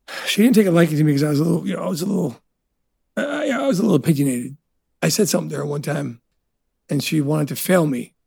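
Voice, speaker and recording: Vocal fry marks this very fast, lively-intoned delivery in a New Jersey accent. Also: man. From New Jersey (Elizabeth), Italian immigrant family. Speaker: restaurateur. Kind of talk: casual interview.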